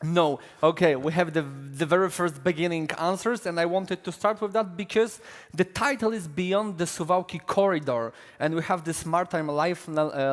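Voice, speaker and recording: Speaking in a Polish accent, a man talks at a moderate pace with a high pitch for a man. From Poland. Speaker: panel moderator, defence editor. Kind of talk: conference panel moderation. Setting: conference stage with audience.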